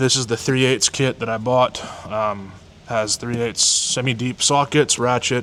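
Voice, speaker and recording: Noticeable background noise runs under a man who talks very slowly. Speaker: mechanic showing his service truck. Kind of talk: walkaround truck tour video.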